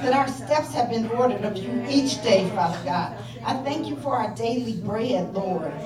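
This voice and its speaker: A woman's fairly high voice with very wide pitch swings at a moderate pace, music playing in the background. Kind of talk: fervent prayer, a heartfelt intercession. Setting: prayer call. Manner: repetitive, earnest, rhythmic, with 'Father God' as a steady refrain.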